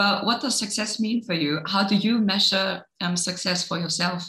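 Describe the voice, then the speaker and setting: A woman's medium-pitched voice with a German accent, fairly even intonation and a moderate pace, with audible room echo. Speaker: radio interviewer. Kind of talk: interview.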